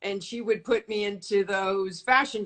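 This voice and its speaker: A woman talks at a medium pitch in a plain, everyday voice. Her intonation stays fairly even. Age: 60s. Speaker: modeling agent. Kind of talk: interview.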